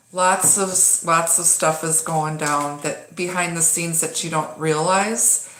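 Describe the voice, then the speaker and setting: Amid noticeable background noise and audible room echo, a woman speaks in a fairly low pitch with monotone, flat intonation. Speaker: tarot reader. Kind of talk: live-streamed tarot reading. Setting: home live stream. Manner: casual, halting with many fillers.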